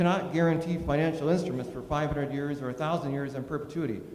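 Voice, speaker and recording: There is audible room echo and noticeable background noise. A man speaks with an American accent. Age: 60s. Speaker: public hearing speaker. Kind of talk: public hearing testimony. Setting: public hearing with audience.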